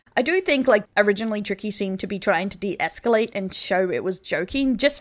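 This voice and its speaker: Against a quiet background, a woman with an Australian accent talks at a fairly quick pace, her medium pitch showing ordinary variation. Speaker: vtuber news commentator. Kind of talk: online commentary video. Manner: occasionally stuttering. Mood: serious, measured.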